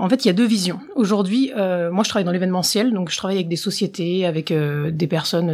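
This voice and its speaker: A fairly quick woman's voice, fairly low in pitch with ordinary variation, over noticeable background noise. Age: 20s. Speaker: professional magician. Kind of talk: casual interview.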